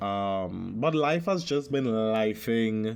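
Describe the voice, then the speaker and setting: This man's voice sits at a medium pitch and carries lively intonation. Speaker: podcast host. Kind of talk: casual monologue podcast. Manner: halting, many fillers.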